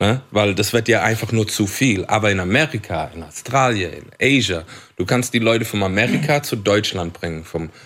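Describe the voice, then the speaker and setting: A man with a non-native accent speaks at a moderate pace and a fairly low pitch, with lively intonation. The recording is very clean, with a silent background. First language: English (speaking German). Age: 30s. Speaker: English-language rapper. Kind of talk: casual chat. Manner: code-switching German and English.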